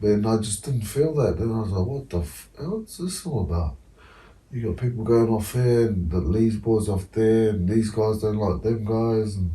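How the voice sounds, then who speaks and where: A somewhat breathy man's voice with a New Zealand accent, fairly low pitch, lively intonation and a dark, mellow tone. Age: 30s. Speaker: former rugby league player. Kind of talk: casual chat.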